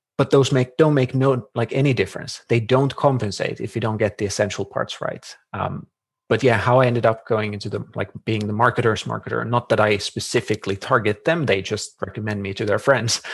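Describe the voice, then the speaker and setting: In a Finnish accent, a somewhat breathy man speaks at a fairly quick pace with fairly even intonation against a quiet background. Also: medium pitch for a man. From Finland. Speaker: marketing consultant. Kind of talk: podcast interview.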